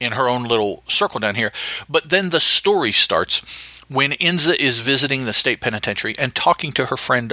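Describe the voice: The recording consists of plain reading aloud.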